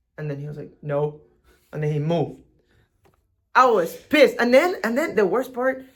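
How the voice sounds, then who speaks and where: A man with a strong Venezuelan accent, high-pitched, at a moderate pace, with very wide pitch swings, big swings in loudness, and long, frequent pauses. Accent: thick Venezuelan Spanish. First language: Spanish. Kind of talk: casual chat.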